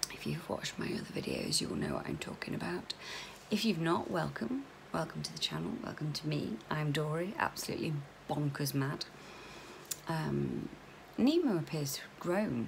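A woman with a British accent talks at a moderate pace. Light background noise is present. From UK. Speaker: vlogger. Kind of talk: casual chat. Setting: video vlog at home. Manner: chatty, informal. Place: home room. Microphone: phone near.

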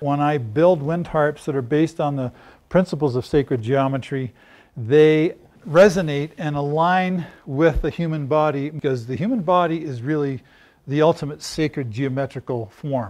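A moderate pace with ordinary pitch variation. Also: man. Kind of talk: interview answer. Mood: calm, enthusiastic explaining. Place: workshop. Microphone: lapel.

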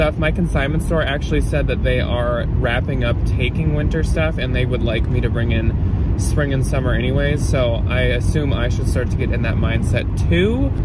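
A man at a moderate pace with hardly any pauses, dry sound with no echo, and loud background noise. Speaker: thrift reseller vlogger. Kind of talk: casual vlog chat. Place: car. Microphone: phone near.

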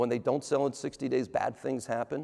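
Delivering his words at a fairly quick pace, a man speaks with ordinary pitch variation. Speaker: presenter. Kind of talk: conference talk. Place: stage. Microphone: lapel.

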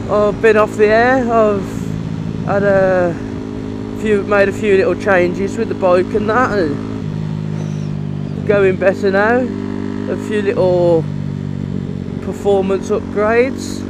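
A very slow pace, dry with no echo, amid loud background noise. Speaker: motorbike rider vlogger. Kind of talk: casual vlog chat. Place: motorbike. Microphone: helmet.

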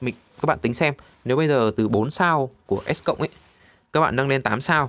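Speaking with ordinary pitch variation, a man keeps a moderate pace. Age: 30s. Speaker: gaming YouTuber. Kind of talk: game tutorial walkthrough.

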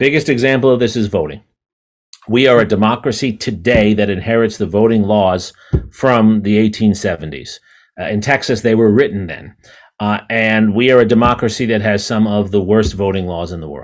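A man with an American accent has an unremarkable speaking voice, fairly low in pitch with ordinary pitch variation. He speaks at a moderate pace over a quiet background. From New York City. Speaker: history professor. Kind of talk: interview conversation. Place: office. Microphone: video call.

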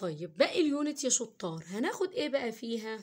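A woman speaks with very wide swings in pitch. The background is quiet. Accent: Egyptian. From Egypt. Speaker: English teacher. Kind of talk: tutorial. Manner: slow. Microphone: phone near.

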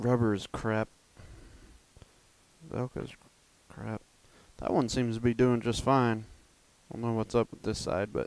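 Fairly slow, monotone, flat delivery with long, frequent pauses and a dry sound with no echo. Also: man. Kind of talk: casual DIY commentary. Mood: mildly annoyed. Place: garage. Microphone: camera far.

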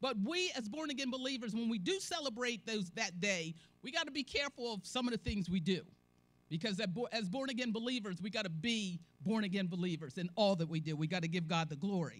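A somewhat breathy woman's voice at a fairly quick pace. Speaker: church elder preaching. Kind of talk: sermon. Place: church. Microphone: handheld.

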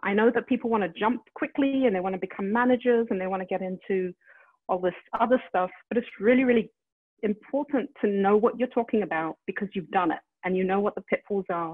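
In a quiet background, a woman talks at a very fast pace with a medium pitch and ordinary pitch variation. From London, England. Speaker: media executive; guest, news executive. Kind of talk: interview. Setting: video call. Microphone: earbuds.

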